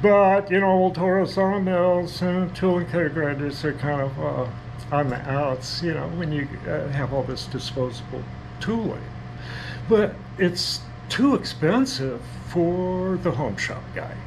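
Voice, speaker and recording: Over noticeable background noise, a man talks at a fairly slow pace. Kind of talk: casual workshop vlog chat. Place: workshop. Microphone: phone near.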